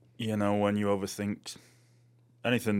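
A man talks at a very fast pace with a British accent. The recording is very clean, with a silent background. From England. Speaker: artist. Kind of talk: casual chat. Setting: studio.

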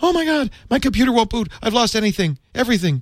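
In a put-on character voice, a man talks at a very fast pace with an extremely high pitch and a panicked tone. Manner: panicked, distressed.

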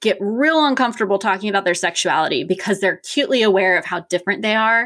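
A woman with an American accent and a normal speaking voice, medium in pitch, with lively intonation, on a very clean recording with a silent background. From Richmond, Virginia. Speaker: nurse practitioner. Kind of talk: interview.

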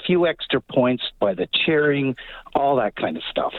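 In a plain, everyday voice, a man at a fairly high pitch speaks at a fairly slow pace with lively intonation. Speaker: caller. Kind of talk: casual opinion. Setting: phone call.

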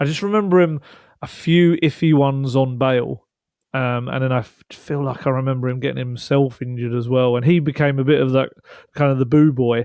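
Here is a man with an ordinary speaking voice at a medium pitch. He talks at a fairly quick pace with fairly even intonation. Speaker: football journalist and co-host. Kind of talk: casual chat.

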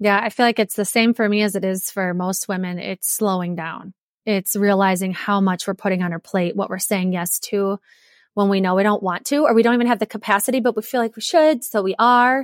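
A woman with an American accent and a plain, everyday voice talks at a fairly quick pace, her medium pitch showing ordinary variation, in a dry, close recording that is very clean with a silent background. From Wisconsin. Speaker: entrepreneur and marathoner. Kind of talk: interview conversation.

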